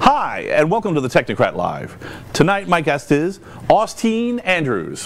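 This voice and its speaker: Over noticeable background noise, a man with a high pitch speaks at a fairly slow pace, his pitch swinging very widely. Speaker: talk show host. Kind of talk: casual chat. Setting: studio. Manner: loud and forceful.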